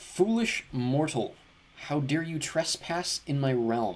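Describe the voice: In a put-on character voice, a man speaks fairly slowly with a fairly high pitch.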